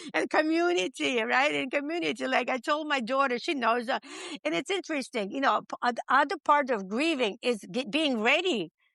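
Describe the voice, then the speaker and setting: A woman with a non-native accent speaks in a raised, projected voice with a high pitch and a bright, sharp tone. Her pitch swings very widely, and the sound is dry and close with no echo. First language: not English. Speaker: podcast interview guest. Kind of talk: interview. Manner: halting.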